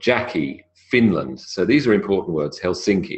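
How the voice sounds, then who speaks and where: Here a man speaks with a British accent. His pace is moderate. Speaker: English pronunciation teacher. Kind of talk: lecture.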